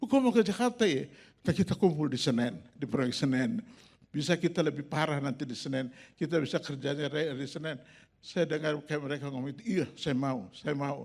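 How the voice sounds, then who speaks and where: The intonation is lively. The tone comes across as animated. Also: man, fairly high pitch for a man. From Makassar, Indonesia. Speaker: pastor. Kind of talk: sermon testimony. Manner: animated storytelling.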